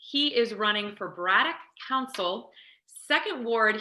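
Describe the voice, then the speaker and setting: A woman's normal speaking voice, fairly high in pitch, at a moderate pace with lively intonation. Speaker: local news interviewer. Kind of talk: interview host talk. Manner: upbeat.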